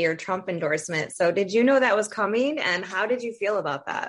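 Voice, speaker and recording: A woman with an American accent speaks fairly quickly at a medium pitch. She has a plain, everyday voice with ordinary pitch variation. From Toledo, Ohio, US Midwest. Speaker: podcast host. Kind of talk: interview.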